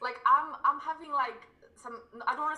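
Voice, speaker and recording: A woman's raised, projected voice with an English accent, over noticeable background noise. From England. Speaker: crypto YouTuber and civil engineer. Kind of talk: casual livestream interview.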